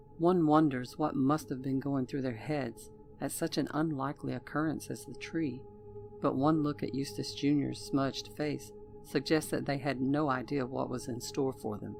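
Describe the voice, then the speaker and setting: A woman speaks with a Southern US accent in a very deep, low pitch. Her pitch varies in an ordinary way, with music in the background. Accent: Southern US drawl. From Southern United States. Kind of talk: horror story narration.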